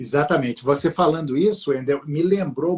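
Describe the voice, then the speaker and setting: A somewhat breathy man, fairly high in pitch, with lively intonation. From Minas Gerais, Brazil (Abaeté). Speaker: law professor, live stream host. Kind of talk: live-stream interview on family law. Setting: live stream. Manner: hesitant, many fillers.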